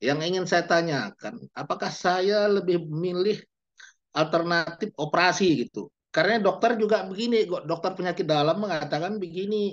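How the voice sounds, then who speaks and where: Using a high pitch and ordinary pitch variation, a man speaks at a moderate pace. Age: 60s. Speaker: employee audience member asking a question. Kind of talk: question in Q&A.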